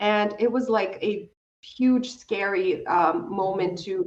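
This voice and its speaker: A woman with a non-native accent talks with ordinary pitch variation. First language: not English. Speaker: self-discovery coach. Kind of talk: interview conversation.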